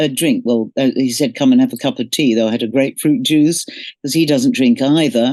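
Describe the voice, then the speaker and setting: Over a quiet background, a woman's very deep, low voice carries a dark, mellow tone and lively intonation. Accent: London. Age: 70s. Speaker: singer. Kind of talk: interview.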